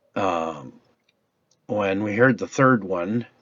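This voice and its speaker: A man uses a put-on character voice, raspy in texture. His pitch sits fairly low. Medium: solo performance. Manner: rambling, hesitant.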